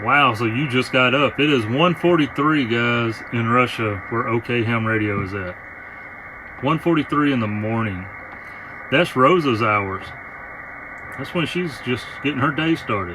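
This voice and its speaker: Noticeable background noise surrounds a man with a Southern US accent, speaking at a medium pitch with ordinary pitch variation. His pace is fairly slow, with long, frequent pauses. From US South. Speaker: amateur radio operator. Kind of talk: casual chat.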